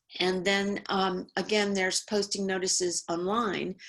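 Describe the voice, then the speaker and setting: A woman with an American accent and a normal speaking voice talks at a fairly slow pace, medium pitch and fairly even intonation. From New York. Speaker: law professor. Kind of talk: webinar presentation.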